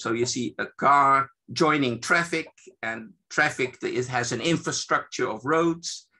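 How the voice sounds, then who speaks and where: Against a quiet background, a man speaks fairly slowly at a fairly high pitch with a bright, sharp tone, vocal fry and ordinary pitch variation. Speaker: evaluation expert presenting a seminar. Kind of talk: lecture. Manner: halting, many fillers.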